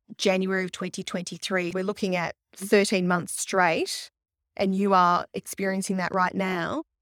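At a moderate pace, a woman speaks in a normal speaking voice of medium pitch, with a dry, close sound with no echo and a very clean recording, silent background. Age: 40s. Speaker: astrologer and podcast host. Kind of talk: astrology reading consultation.

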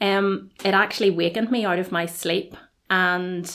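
The speaker has a Belfast accent and talks at a fairly slow pace with fairly even intonation. The recording is very clean, with a silent background. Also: woman. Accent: Belfast Northern Irish. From Northern Ireland, Belfast. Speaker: college registrar. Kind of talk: podcast interview about faith.

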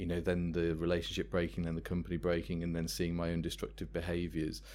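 With an English Midlands accent, a man talks in a very deep, low pitch. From England, Worcester. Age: 30s. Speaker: life coach. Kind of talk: interview.

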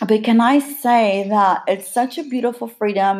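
A woman speaks at a fairly slow pace in a plain, everyday voice, her fairly high pitch moving with ordinary variation over a very clean recording with a silent background. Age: 40s. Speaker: podcast host. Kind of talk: casual chat.

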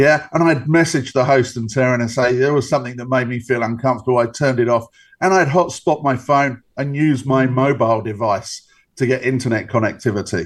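He has an ordinary speaking voice, medium in pitch for a man. He talks at a fairly quick pace. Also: ordinary pitch variation. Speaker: cybersecurity expert. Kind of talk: interview.

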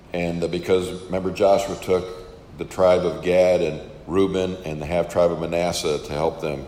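The speech comes at a moderate pace in a flat monotone with an American accent. Room echo is audible. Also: man, very deep, low pitch for a man. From Western New York, US. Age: 50s. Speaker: camp minister and preacher. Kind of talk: interview testimony.

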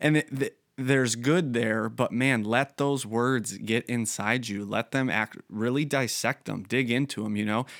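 A man with a normal speaking voice talks at a fairly slow pace with hardly any pauses, medium pitch and fairly even intonation, in a very clean recording with a silent background and a dry, close sound with no echo. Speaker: church pastor and podcast host. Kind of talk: casual interview chat. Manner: conversational, with filler words.

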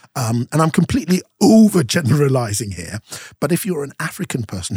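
This man talks at a moderate pace with lively intonation and a somewhat breathy voice. The sound is dry and close, with no echo. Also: very clean recording, silent background. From Nigeria (Yoruba), moved from UK at seven. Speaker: broadcaster and speaker. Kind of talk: casual chat.

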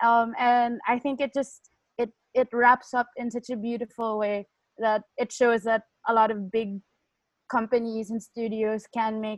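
A woman speaks at a fairly slow pace. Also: dry, close sound with no echo. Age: 20s. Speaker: podcast co-host. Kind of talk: casual chat.

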